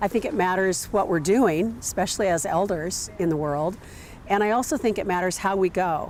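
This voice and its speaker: A woman speaks in a plain, everyday voice of medium pitch, with ordinary pitch variation. Her loudness stays very even. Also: moderate pace. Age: 60s. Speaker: natural burial cemetery manager. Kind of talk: documentary interview.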